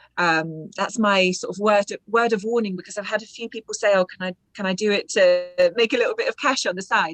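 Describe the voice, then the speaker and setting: In a British accent, a woman speaks with fairly even intonation, the sound dry and close with no echo. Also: medium pitch for a woman, fairly quick pace. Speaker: audiobook narrator. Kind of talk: interview.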